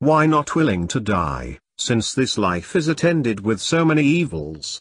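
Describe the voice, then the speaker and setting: A man's put-on character voice at a medium pitch and moderate pace, with very wide pitch swings, against a quiet background. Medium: read story. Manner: earnest, archaic speech.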